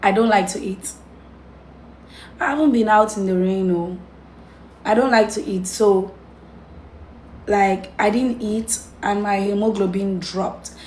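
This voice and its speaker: At a fairly slow pace with long, frequent pauses, a woman speaks in a somewhat breathy voice at medium pitch. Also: fairly even intonation. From Cameroon. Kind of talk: casual talk to camera.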